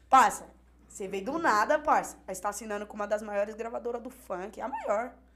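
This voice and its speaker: A woman's fairly high voice at a fairly quick pace, with ordinary pitch variation, big swings in loudness and noticeable background noise. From Hortolândia, interior of São Paulo state, Brazil. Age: 20s. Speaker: rapper. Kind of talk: casual chat.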